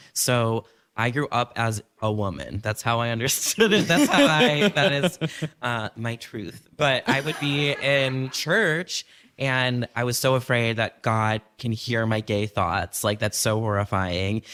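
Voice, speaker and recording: The man has an unremarkable speaking voice at a medium pitch, with ordinary pitch variation. He speaks at a fairly slow pace, and the sound is dry and close with no echo. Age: 30s. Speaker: tattoo artist, podcast guest. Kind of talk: live podcast conversation. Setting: stage with audience.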